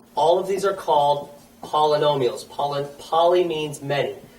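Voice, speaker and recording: A man talks with a fairly high pitch and fairly even intonation. Noticeable background noise and audible room echo surround him. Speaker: math teacher. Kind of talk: lecture.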